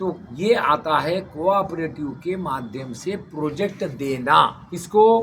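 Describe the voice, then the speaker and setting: The man's voice sits high in pitch. His intonation is lively. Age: 70s. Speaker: retired civil servant and speaker on cooperatives. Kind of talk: interview. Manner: emphatic, repetitive.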